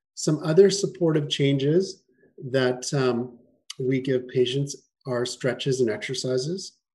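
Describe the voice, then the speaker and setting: Ordinary in pitch variation and medium in pitch, a man speaks in a somewhat breathy voice with a Canadian accent. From Canada, Winnipeg. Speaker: chiropractor. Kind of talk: webinar presentation.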